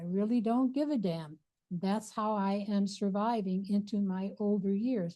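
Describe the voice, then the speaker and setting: The tone is dark and mellow, somewhat breathy. Delivery is fairly slow, with ordinary pitch variation. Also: woman, medium pitch for a woman. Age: 80s+. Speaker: abdominal therapy teacher. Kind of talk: lecture. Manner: casual, reflective.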